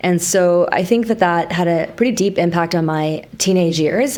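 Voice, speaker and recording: Over noticeable background noise, a woman with a Canadian accent talks at a fairly low pitch. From Canada, Vancouver. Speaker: entrepreneur. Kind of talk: podcast interview. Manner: casual.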